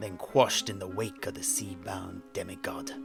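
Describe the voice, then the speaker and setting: A man does a raspy put-on character voice at a fairly low pitch. Music plays in the background. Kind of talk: poetry reading.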